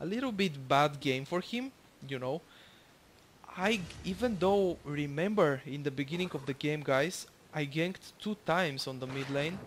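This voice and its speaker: A man at a moderate pace, fairly high-pitched, with a Bulgarian accent. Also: ordinary pitch variation. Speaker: gaming YouTuber. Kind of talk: gameplay commentary. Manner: casual, hesitant with fillers.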